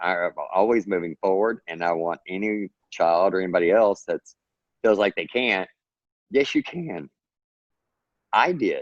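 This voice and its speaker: In a dry, close recording with no echo, a man with an American accent talks at a fairly slow pace and a fairly low pitch, with ordinary pitch variation and long, frequent pauses. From Texas. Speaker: author and self-publisher. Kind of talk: podcast interview.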